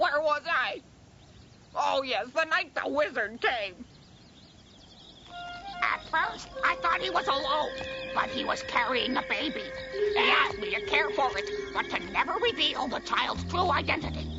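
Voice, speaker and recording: Clear music plays in the background behind a high-pitched, cartoonish character voice delivered at a moderate pace. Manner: cranky, evasive.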